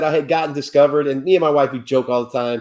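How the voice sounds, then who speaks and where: A man talks with a slight Midwestern accent. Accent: slight Midwestern country twang. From Ohio, US Midwest. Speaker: pumpkin carver. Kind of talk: casual chat.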